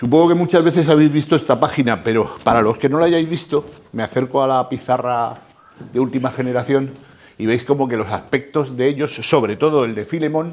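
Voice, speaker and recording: At a fairly quick pace, a man uses a plain, everyday voice, fairly high in pitch and with ordinary pitch variation. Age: 60s. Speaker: lecturer on comics. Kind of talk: talk to a live audience.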